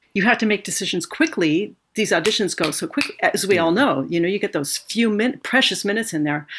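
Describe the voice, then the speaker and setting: A woman with a plain, everyday voice, medium in pitch, at a fairly quick pace. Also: lively intonation. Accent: American. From Los Angeles, California. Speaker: orchestral musician. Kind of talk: casual interview.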